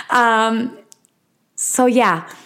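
In a Mexican accent, a woman speaks in a high pitch with a nervous tone. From Mexico City. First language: Spanish. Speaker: podcast host. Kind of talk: casual solo monologue. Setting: home recording. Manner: nervous, halting.

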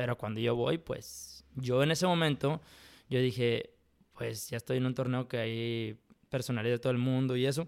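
A man with a Mexican accent talks at a medium pitch and moderate pace. His intonation is fairly even in a very clean recording with a silent background. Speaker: professional poker player and architect. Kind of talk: casual interview.

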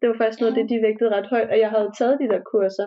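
A woman's fairly high voice in a flat monotone. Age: 20s. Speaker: university student. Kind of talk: casual interview. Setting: recorded remotely, separate rooms.

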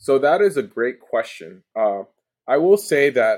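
Here is a man with a plain, everyday voice and fairly high pitch. His intonation is lively and his pace moderate. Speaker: customer success leader and army veteran. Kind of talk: casual podcast interview.

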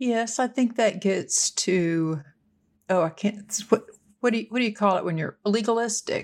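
In a plain, everyday voice, the speaker keeps a moderate tempo with ordinary pitch variation. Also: woman, fairly high pitch for a woman. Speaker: motivational speaker. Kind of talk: casual podcast discussion.

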